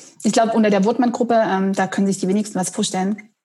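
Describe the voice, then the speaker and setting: A woman's fairly high voice comes across somewhat breathy. Her intonation stays fairly even. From Saxony, eastern Germany (Dresden). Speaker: head of marketing. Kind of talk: interview. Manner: hesitant, many fillers.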